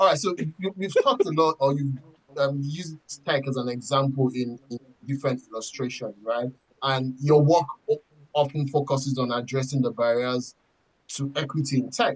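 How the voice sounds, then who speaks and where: Somewhat breathy and fairly high-pitched, a man speaks with fairly even intonation and long, frequent pauses. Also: moderate pace. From Nigeria. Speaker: podcast co-host. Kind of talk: podcast interview. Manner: halting.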